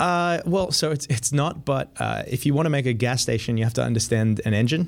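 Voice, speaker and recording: Vocal fry runs through a man's lively intonation as he talks with an American accent. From Australia and US. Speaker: spacecraft engineer. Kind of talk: casual interview. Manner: hesitant, filler-heavy.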